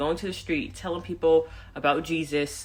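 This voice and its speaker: The pace is moderate, and the recording is very clean with a silent background. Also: woman. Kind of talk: personal testimony monologue. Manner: loud; urban vernacular speech.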